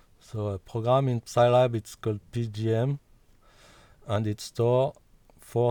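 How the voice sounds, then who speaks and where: In a non-native accent, a man with a medium pitch speaks at a very slow pace with fairly even intonation. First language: not English. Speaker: music software developer. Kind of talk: tutorial. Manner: halting.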